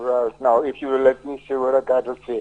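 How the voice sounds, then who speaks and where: Speaking in a St Lucian accent, a man has a medium pitch, a dark, mellow tone and monotone, flat intonation. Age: 70s. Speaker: caller. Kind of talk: call-in complaint. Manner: halting.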